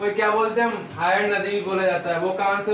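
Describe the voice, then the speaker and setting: An animated tone amid noticeable background noise and audible room echo. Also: man. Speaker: online exam-prep teacher. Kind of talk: lecture. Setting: video class at a whiteboard. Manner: animated, call-and-response questioning.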